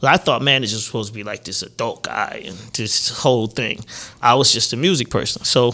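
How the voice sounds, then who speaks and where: A man's bright, sharp voice at a fairly quick pace with fairly even intonation. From Atlanta. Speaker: record producer and songwriter; podcast guest. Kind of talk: interview answer. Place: studio. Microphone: studio mic.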